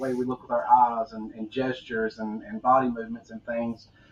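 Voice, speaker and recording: Speaking at a very fast pace, a man has a Southern US accent. Noticeable background noise can be heard. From US South. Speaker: podcast host. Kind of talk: interview conversation. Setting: live online video interview.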